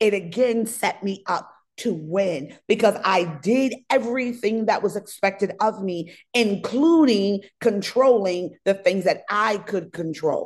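In a medium-pitched voice, a woman speaks at a fairly slow pace with an animated tone and ordinary pitch variation. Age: 30s. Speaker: fitness coach and podcast host. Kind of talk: motivational monologue.

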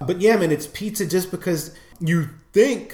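Speaking in a New York accent, a man uses lively intonation at a moderate pace, his tone dark and mellow and somewhat breathy. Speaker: podcast co-host. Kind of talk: casual chat.

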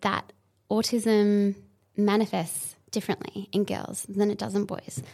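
At a fairly slow pace, a woman with a medium pitch speaks in an unremarkable speaking voice. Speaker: podcast host. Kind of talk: casual chat.

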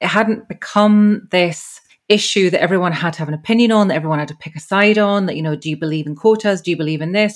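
In an unremarkable speaking voice, a woman talks at a medium pitch, her pitch varying in an ordinary way. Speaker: podcast host. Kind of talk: interview.

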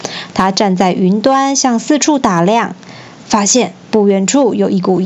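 Simple, plain reading aloud

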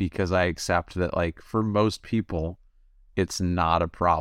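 A man speaks with a very deep, low pitch. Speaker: former marijuana addict sharing recovery story. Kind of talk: interview. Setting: video call. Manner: laid-back, mellow.

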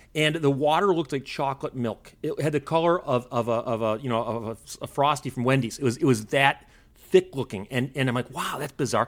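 A man with an American accent has an unremarkable speaking voice at a medium pitch with ordinary pitch variation. He talks at a fairly quick pace with hardly any pauses. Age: 50s. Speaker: author and historian. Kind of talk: casual interview.

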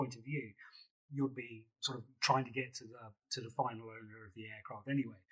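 A man's fairly high-pitched voice with a bright, sharp tone at a fairly quick pace. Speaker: podcast host. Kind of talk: interview.

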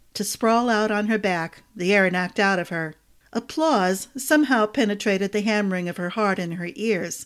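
Text is read aloud here. The delivery uses a natural voice.

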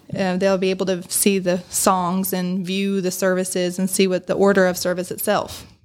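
With music in the background, a woman talks at a moderate pace and a medium pitch. Her intonation is monotone and flat, with hardly any pauses. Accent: American. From South Bend, Indiana, US Midwest. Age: 30s. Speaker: church music assistant and teacher. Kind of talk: casual chat. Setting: studio.

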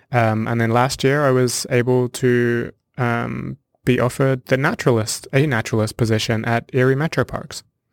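A man talks at a moderate pace and medium pitch with monotone, flat intonation. The recording is very clean with a silent background and a dry, close sound with no echo. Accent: southern English. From southern England (Hampshire). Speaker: naturalist. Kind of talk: interview.

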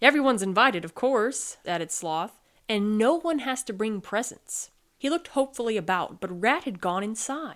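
With lively intonation, someone reads aloud in a natural voice.

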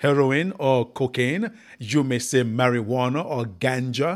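A man's solemn voice at medium pitch and a fairly slow pace, in a very clean recording with a silent background. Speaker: evangelist radio preacher. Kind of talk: fiery sermon with prayer and altar-call style appeals. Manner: emphatic, pleading, rhetorical; direct address with call-and-response prompts; solemn and formal, with cadenced, scripture-laden delivery.

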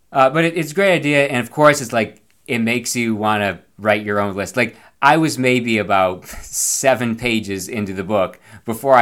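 With lively intonation, a man speaks at a moderate pace and a medium pitch. He has a plain, everyday voice. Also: very clean recording, silent background. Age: 40s. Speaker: podcast host and schoolteacher. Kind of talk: solo monologue podcast. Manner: casual, with frequent fillers.

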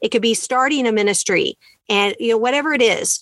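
Against a quiet background, a woman with an ordinary speaking voice talks in a dry, close sound with no echo. Her pitch is fairly high with ordinary variation, and her pace fairly quick. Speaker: podcast host. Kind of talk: podcast interview, encouraging.

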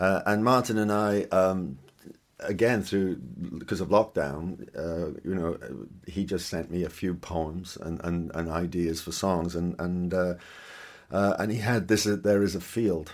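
With a Welsh accent, a man speaks at a very deep, low pitch. His pace is fairly slow and his intonation fairly even. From Wales. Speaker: singer-songwriter. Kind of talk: interview. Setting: video call from home studio. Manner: halting, repeats words.

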